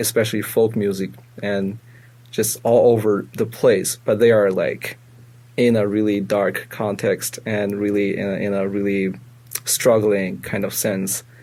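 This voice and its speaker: Speaking at a fairly slow pace, a man delivers his words in a fairly low pitch with a dark, mellow tone and fairly even intonation. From China, Beijing. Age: 20s. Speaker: musician and student composer. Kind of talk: casual interview. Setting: studio. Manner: halting, many fillers and restarts.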